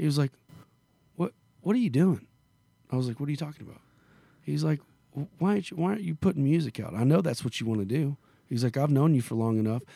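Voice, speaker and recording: A man with a Southern US accent talks at a very fast pace with lively intonation and long, frequent pauses. His voice is fairly high in pitch, with a dark, mellow tone. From Arkansas / Memphis area, US South. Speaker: country singer. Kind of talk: casual interview. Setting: in a venue in Las Vegas. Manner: halting, many fillers.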